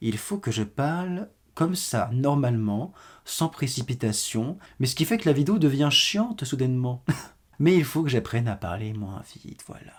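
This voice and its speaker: The man's voice is somewhat breathy. His pitch swings very widely. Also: medium pitch for a man. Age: young. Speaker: YouTuber. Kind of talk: storytime monologue. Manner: fast; animated.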